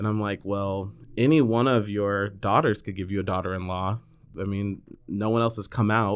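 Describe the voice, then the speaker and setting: A man with an American accent speaks in a plain, everyday voice at a moderate pace, fairly low in pitch with fairly even intonation, on a very clean recording with a silent background. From Northern California. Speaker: podcast guest. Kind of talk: casual interview chat.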